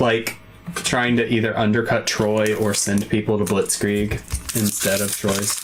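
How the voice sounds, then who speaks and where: Amid noticeable background noise, a man speaks at a fairly slow pace with a fairly low pitch, monotone, flat intonation and very even loudness. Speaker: YouTube card opening streamer. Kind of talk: casual chat on livestream. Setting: livestream. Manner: laid-back, soft-spoken.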